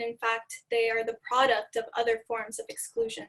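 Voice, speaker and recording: A woman with an American accent speaks at a high pitch in a bright, sharp tone with monotone, flat intonation. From Kentucky, US South. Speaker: undergraduate student presenter. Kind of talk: academic presentation. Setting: video call.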